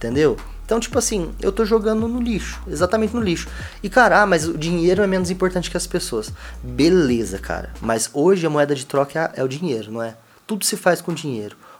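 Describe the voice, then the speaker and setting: Over music in the background, a man talks at a fairly quick pace in a fairly high pitch with very wide pitch swings. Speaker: podcast co-host, clothing brand owner. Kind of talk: casual chat. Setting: home studio room.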